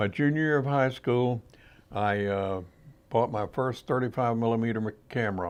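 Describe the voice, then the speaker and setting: A man with a Mississippi Gulf Coast accent talks at a moderate pace and medium pitch, with ordinary pitch variation. He leaves long, frequent pauses against a quiet background. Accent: Southern US (Mississippi Gulf Coast). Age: 80s+. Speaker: outdoor writer and photographer. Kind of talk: interview. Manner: halting.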